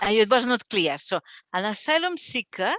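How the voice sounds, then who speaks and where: Bright and sharp in tone, a woman speaks with lively intonation at a moderate pace, the sound dry and close with no echo and the recording very clean against a silent background. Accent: non-native. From Catalonia, Spain. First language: Catalan. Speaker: archivist. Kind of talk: Q&A after a talk. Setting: library event with live audience. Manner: halting.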